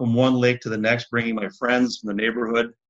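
A man's medium-pitched voice in an Upper Midwest accent. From Minneapolis, Minnesota. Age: 60s. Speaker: former county commissioner. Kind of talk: interview, personal storytelling.

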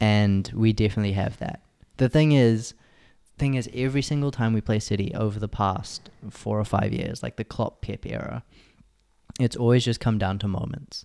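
Dark and mellow in tone, a man's fairly low voice shows ordinary pitch variation. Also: moderate pace, very clean recording, silent background. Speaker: podcast co-host. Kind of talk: casual chat.

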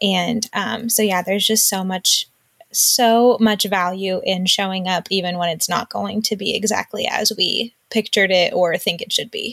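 A woman talks at a moderate pace with an American accent, her pitch in the middle range and her intonation fairly even, and she has an ordinary speaking voice. The sound is dry and close, with no echo. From US Northeast, Western Massachusetts. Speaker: mom and online community co-founder. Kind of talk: interview.

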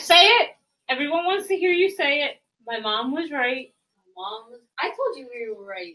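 In a raised, projected voice, a woman with a high pitch and a bright, sharp tone moves at a moderate pace, with very wide pitch swings, big swings in loudness and long, frequent pauses. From Puerto Rico. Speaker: podcast co-host. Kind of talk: casual chat.

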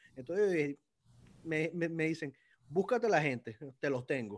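On a very clean recording with a silent background, a man with a fairly high voice and lively intonation speaks at a moderate pace. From Venezuela. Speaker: lawyer and political commentator. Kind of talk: casual interview chat. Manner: halting, repeats words.

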